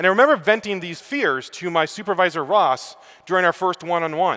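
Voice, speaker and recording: With a slight Canadian accent, a man speaks very fast in a high pitch and a bright, sharp tone. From Canada. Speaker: student affairs professional. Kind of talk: conference talk.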